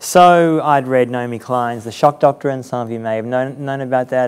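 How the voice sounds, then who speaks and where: The man's pitch is medium and his intonation fairly even. He talks at a moderate pace. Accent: Australian. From Australia. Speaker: journalist and author. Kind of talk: interview conversation before audience.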